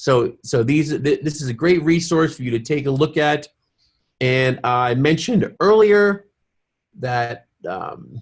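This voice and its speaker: A somewhat breathy man's voice, fairly high in pitch. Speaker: webinar host for a science education campaign. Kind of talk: webinar presentation. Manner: halting.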